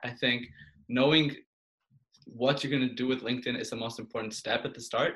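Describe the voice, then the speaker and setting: A man talks in an unremarkable speaking voice at medium pitch. His intonation is fairly even. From Portugal, Belgium and Canada. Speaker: university student. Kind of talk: casual interview.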